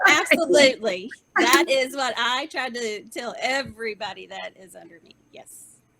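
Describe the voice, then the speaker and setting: With a Southern US accent, a woman projects a raised, high-pitched voice at a moderate pace with lively intonation. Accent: sweet Southern. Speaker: veteran employment team leader. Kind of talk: panel interview.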